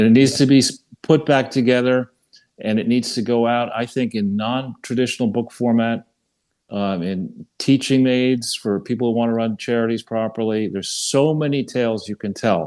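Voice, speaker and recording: A man talks at a moderate pace and a medium pitch. His intonation is fairly even, with a quiet background. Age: 60s. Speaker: regular podcast commentator on charity fraud. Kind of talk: casual interview chat. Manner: halting, many repetitions.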